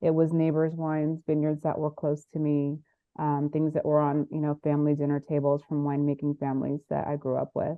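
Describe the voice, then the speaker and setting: A woman with an American accent talks at a fairly quick pace in a very deep, low pitch. Her intonation stays monotone and flat. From US West Coast, Monterey, California. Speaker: winemaker and entrepreneur. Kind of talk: interview.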